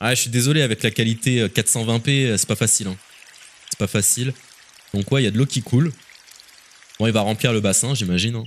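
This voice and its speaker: Over noticeable background noise, a man with a medium pitch talks at a fairly quick pace with fairly even intonation and long, frequent pauses. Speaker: gaming youtuber / streamer. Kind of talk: video reaction commentary. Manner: casual, conversational.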